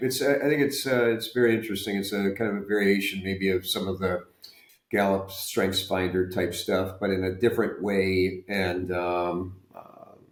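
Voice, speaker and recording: With an American accent, a man speaks at a moderate pace, with a fairly low pitch and fairly even intonation. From US South. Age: 60s. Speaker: retired medical device executive. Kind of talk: podcast interview. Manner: halting, many fillers and repeats.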